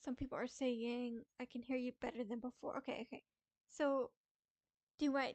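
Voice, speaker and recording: A woman talks at a moderate pace in a high, monotone voice with flat intonation, leaving long, frequent pauses. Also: dry, close sound with no echo. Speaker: streamer. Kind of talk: casual chat. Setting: live stream.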